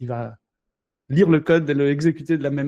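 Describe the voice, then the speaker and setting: A man with a non-native accent speaks in a dark, mellow tone with fairly even intonation. The sound is dry and close, with no echo. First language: not French (speaking French). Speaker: crypto company founder. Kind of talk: casual interview. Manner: halting, many fillers.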